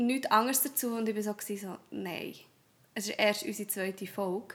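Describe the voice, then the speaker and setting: A woman with a fairly high pitch and ordinary pitch variation takes a fairly slow pace. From Switzerland, Thun (Bernese Oberland). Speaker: primary school teacher, podcast co-host. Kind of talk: casual chat. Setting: home office, morning recording.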